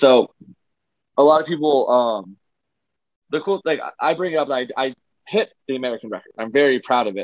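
The man talks at a fairly quick pace but takes long, frequent pauses. His fairly high pitch shows ordinary variation. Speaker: strongman athlete. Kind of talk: casual interview.

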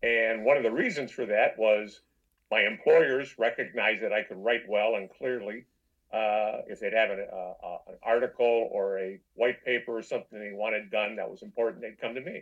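With an American accent, a man talks at a moderate pace, his loudness swinging widely. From US Midwest, Detroit. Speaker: novelist, former veterinarian. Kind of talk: interview. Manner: halting.

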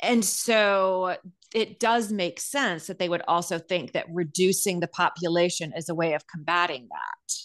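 A woman's medium pitch, ordinary pitch variation and moderate pace, a normal speaking voice against a quiet background. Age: 50s. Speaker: therapist, co-host. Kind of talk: casual chat.

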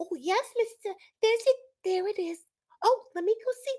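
Squeaky and extremely high-pitched, this is a put-on character voice. It moves at a moderate pace. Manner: eager, deferential.

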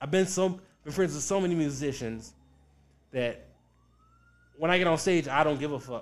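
At a moderate pace with long, frequent pauses, the speaker talks in an American accent. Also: man, fairly high pitch for a man, ordinary pitch variation. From US South, Richmond, Virginia. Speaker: stand-up comedian. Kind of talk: casual chat.

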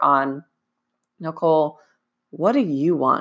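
On a very clean recording with a silent background, a woman uses a normal speaking voice with ordinary pitch variation at a moderate pace. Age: 20s. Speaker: fitness coach and podcast host. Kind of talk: solo podcast monologue.

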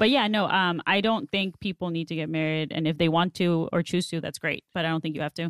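A woman with a fairly low pitch speaks at a very fast pace, using ordinary pitch variation. The recording is very clean with a silent background and a dry, close sound with no echo. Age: 30s. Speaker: podcast guest, online show host. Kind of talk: casual chat. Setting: studio.

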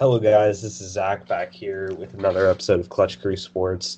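There is vocal fry in this man's fairly low-pitched voice as he talks at a moderate pace. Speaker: sports podcast host. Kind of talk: scripted show intro; casual podcast chat. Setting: recorded podcast with video.

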